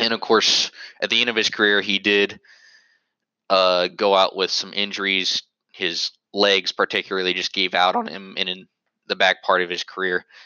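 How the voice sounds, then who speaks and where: A man's fairly low voice with an American accent, flat monotone delivery, a moderate pace and long, frequent pauses. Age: 20s. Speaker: sports podcast host. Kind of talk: solo podcast monologue. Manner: halting.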